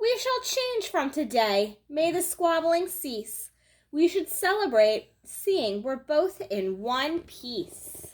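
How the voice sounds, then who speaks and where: A woman's put-on character voice, extremely high in pitch, with very wide pitch swings and a very slow pace. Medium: read story.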